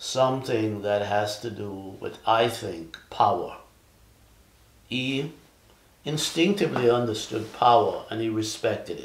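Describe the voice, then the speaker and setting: A man at a fairly slow pace, with ordinary pitch variation, big swings in loudness, long and frequent pauses, and audible room echo. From Jamaica. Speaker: Vietnam war veteran. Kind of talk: interview answer. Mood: calm, reflective. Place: home room.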